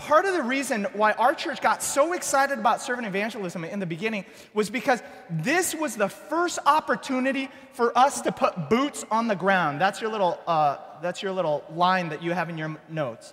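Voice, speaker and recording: Against noticeable background noise, a man with a high pitch talks at a fairly quick pace with very wide pitch swings. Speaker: church planting pastor. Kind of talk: workshop presentation. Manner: fast; animated.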